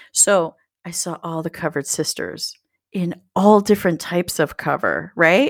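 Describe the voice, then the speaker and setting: In a very clean recording with a silent background and a dry, close sound with no echo, a woman speaks at a fairly low pitch and a moderate pace, with ordinary pitch variation and vocal fry. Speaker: book podcast co-host. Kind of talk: casual chat. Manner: animated.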